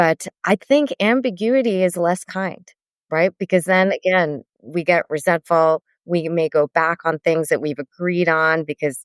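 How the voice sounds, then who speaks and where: Dry and close with no echo, a woman's normal speaking voice sits fairly low in pitch on a very clean recording with a silent background. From Sri Lankan heritage, US. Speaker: therapist and author. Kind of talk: casual podcast interview.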